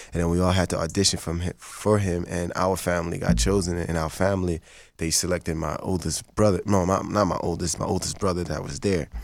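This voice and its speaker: In a Haitian accent, a man talks at a fairly quick pace with hardly any pauses and a very deep, low pitch. His intonation is fairly even, and the recording is very clean with a silent background. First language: Haitian Creole. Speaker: actor. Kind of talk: casual chat.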